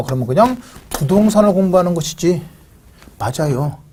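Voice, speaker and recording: A man with a high pitch talks fairly quickly, his intonation lively. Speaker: real estate exam lecturer. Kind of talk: lecture. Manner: speeds up when excited.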